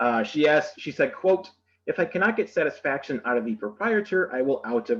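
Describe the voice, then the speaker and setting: A man with an Upper Midwest accent talks at a fairly quick pace in a fairly high pitch, his pitch swinging very widely. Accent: Upper Midwest American. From Michigan (Saginaw). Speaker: museum educator giving history tour. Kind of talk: virtual history tour presentation. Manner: fast; hesitant, many fillers.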